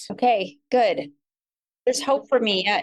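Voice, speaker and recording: In an American accent, a woman with a normal speaking voice talks at a moderate pace and a fairly high pitch, the sound dry and close with no echo. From US West Coast, San Francisco Bay Area. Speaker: podcast guest. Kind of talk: casual chat.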